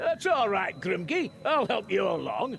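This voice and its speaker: Doing a gruff, put-on character voice, a man talks at a moderate pace and a high pitch for a man over clear background noise. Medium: video game. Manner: gruff, talkative.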